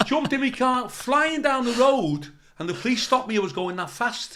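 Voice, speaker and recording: This speaker has an animated tone and talks with a Liverpool accent. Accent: Scouse (Liverpool). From Liverpool, England. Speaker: comedian. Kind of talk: casual interview storytelling.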